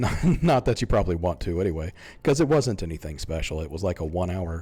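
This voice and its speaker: A man speaks with music in the background. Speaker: gaming YouTuber. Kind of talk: gameplay commentary. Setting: home recording, lying back. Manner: quiet, not loud. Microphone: mic close in front of mouth.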